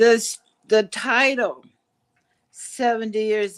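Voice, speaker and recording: A woman with a Midwestern US accent speaks at a very slow pace and fairly high pitch. The recording is very clean, with a silent background. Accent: US Midwest. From Kansas. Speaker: podcast guest. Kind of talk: life story interview.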